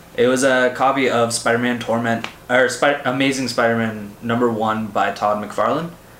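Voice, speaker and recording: A man with a Canadian accent talks in a medium pitch, with very even loudness and hardly any pauses. There is noticeable background noise and audible room echo. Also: moderate pace. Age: 20s. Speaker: comics podcaster. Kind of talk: casual monologue. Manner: animated.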